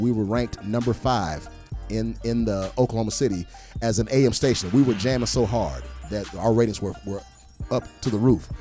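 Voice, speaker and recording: Ordinary pitch variation over background music. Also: man. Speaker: professional comedian, entertainer and former radio DJ. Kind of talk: casual interview answer about his radio career. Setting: recorded in a studio interview.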